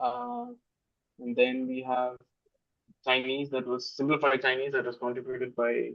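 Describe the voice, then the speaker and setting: A man with a Keralan accent talks at a moderate pace in a monotone, flat delivery, leaving long, frequent pauses. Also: medium pitch for a man. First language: Malayalam. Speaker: software developer. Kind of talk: casual chat. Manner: halting, many fillers.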